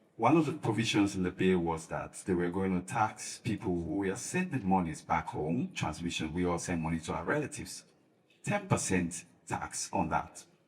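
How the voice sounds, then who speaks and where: This man speaks at a moderate pace with a very deep, low pitch and lively intonation. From Sierra Leone. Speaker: faith-based advocacy leader. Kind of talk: panel discussion. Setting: conference panel.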